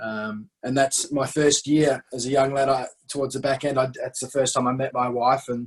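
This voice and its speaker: Speaking with an Australian accent, a man barely pauses at all. His medium-pitched voice stays flat and monotone. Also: moderate pace. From Western Australia, Perth. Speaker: cricket director, former professional cricketer. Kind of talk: interview. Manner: halting, many repeated words.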